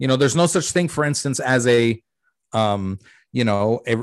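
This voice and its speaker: A quiet background and a dry, close sound with no echo. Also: man. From US. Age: 40s. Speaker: comedian. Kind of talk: interview conversation.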